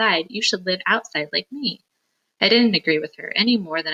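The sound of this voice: An unforced reading voice with lively intonation against a quiet background.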